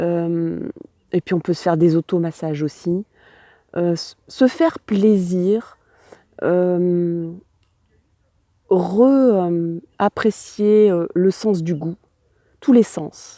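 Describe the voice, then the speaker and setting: In a dry, close sound with no echo, a woman with a fairly low pitch and a dark, mellow tone speaks very slowly, with ordinary pitch variation and long, frequent pauses. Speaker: tarot reader. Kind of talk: tarot reading addressed to viewers. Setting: outdoors on a hill with wind noise.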